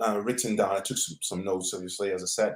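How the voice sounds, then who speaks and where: French-accented speech from a man. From French Guiana. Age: 40s. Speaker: tennis journalist. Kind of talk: podcast interview. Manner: halting, many fillers and repeats.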